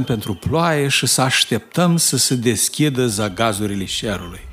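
A man speaks at a fairly slow pace in a warm tone, his pitch swinging very widely. Noticeable background noise runs behind him. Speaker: audiobook narrator. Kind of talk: audiobook reading of a childhood memoir story, nostalgic rural tale. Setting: studio recording. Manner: slow, warm, storytelling tone, reminiscing with a folksy dialect flavor.

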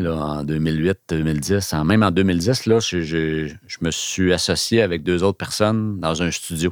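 A man with a Quebec accent and a very deep, low pitch speaks at a very slow pace with ordinary pitch variation. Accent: Québécois French. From Quebec (Laval). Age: 50s. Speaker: photographer and business owner. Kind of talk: interview.

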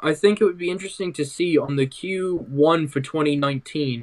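He is a man with a British accent. His pitch variation is ordinary. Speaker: tech podcast guest. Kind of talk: casual tech chat.

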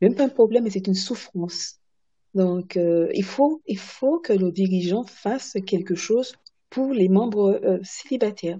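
Her voice is somewhat breathy, and this woman's intonation is lively. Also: medium pitch for a woman, fairly slow pace. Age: 70s. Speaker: president of a singles association. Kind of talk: panel discussion. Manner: halting.

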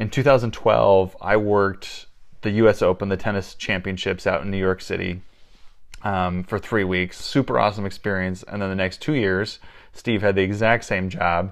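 A man with an American accent uses a normal speaking voice at a fairly low pitch. He keeps a moderate pace with ordinary pitch variation against a quiet background. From Iowa. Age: 30s. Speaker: podcast co-host. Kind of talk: casual chat.

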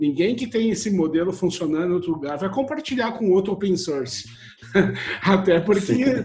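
A man speaks at a moderate pace in a high pitch. There is noticeable background noise. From Brazil, Rio Grande do Sul (Santa Cruz do Sul). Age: 40s. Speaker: software engineer. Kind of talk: casual chat.

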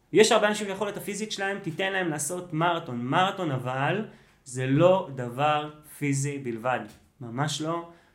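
A man speaks at a moderate pace in a fairly high pitch with lively intonation. Audible room echo surrounds his voice. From Israel. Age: 30s. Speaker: running coach. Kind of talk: casual chat.

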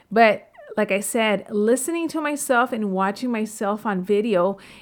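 A woman with a plain, everyday voice and a fairly high pitch talks at a moderate pace with ordinary pitch variation, in a very clean recording with a silent background. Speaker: real estate podcaster. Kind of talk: podcast monologue giving tips.

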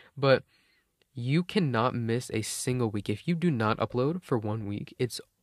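Recorded very cleanly against a silent background, a man speaks at a fairly slow pace and medium pitch with ordinary pitch variation, the sound dry and close with no echo. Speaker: podcaster. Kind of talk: casual solo rant. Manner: rambling, filler words.

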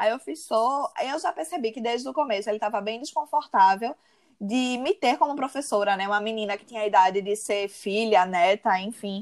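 A woman in a normal speaking voice talks at a moderate pace, her fairly high pitch carrying lively intonation. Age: 30s. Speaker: advertising professional and university lecturer. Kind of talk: interview.

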